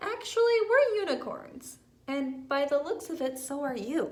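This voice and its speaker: A put-on character voice, high-pitched and warm in tone. It moves at a moderate pace. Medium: read story. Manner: friendly, warm.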